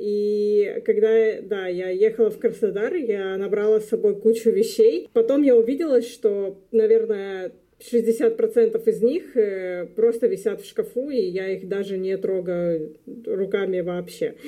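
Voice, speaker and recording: Very slowly, a woman speaks in a dark, mellow tone with a fairly high pitch and ordinary pitch variation. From Luhansk, eastern Ukraine. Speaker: graduate student. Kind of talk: casual interview.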